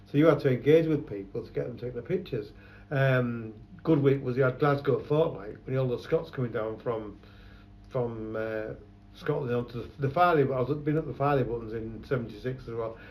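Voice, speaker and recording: A man speaks fairly quickly in a somewhat breathy voice. His pitch is medium, with ordinary variation. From London. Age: 70s. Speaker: photographer. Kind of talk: oral history interview. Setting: his shop.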